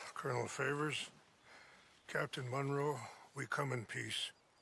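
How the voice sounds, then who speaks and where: A man puts on a raspy character voice at a fairly high pitch. His tone is calm and his intonation monotone and flat. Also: moderate pace. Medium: video game. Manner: calm, measured.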